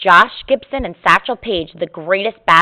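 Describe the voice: Lively intonation marks this clip. It is plain reading aloud.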